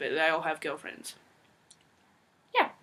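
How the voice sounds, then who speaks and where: This woman has an Australian accent. Her tone is bright and sharp. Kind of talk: casual Q&A talk to camera.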